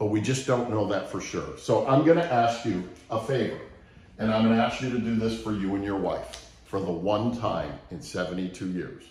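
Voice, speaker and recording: There is audible room echo and noticeable background noise as this man speaks. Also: medium pitch for a man, ordinary pitch variation, moderate pace. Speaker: sales trainer. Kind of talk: training talk with story.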